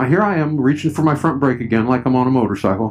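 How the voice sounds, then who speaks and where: A man speaks at a medium pitch. Noticeable background noise can be heard. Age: 60s. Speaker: motorcycle vlogger. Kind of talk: riding commentary vlog. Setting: outdoors riding a three-wheeled motorcycle. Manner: casual, conversational.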